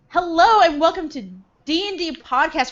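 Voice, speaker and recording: The speaker talks at a fairly slow pace in an American accent. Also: woman. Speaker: podcast host. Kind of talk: casual chat.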